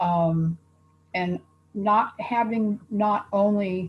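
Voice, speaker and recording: Fairly even intonation in a somewhat breathy female voice. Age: 70s. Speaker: patient panelist. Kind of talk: casual panel introduction.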